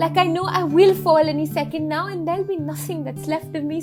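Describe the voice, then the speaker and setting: Music plays in the background as a woman speaks. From India. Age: 20s. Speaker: spoken word poet. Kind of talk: poetry reading.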